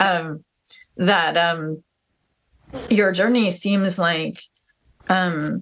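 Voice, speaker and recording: Here a woman speaks with a fairly low pitch. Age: 40s. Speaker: podcast host. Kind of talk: interview. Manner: halting, many fillers.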